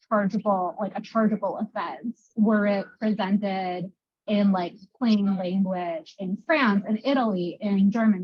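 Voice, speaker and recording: Somewhat breathy, a woman speaks at a medium pitch and a fairly slow pace. Her intonation is fairly even. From Moldova. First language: Russian. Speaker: panelist. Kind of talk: panel discussion. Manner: halting.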